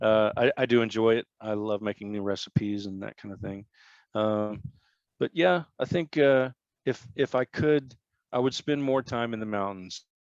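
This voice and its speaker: In a dry, close recording with no echo and a quiet background, a man talks at a moderate pace and medium pitch with ordinary pitch variation. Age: 50s. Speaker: electronic musician. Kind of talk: interview. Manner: halting.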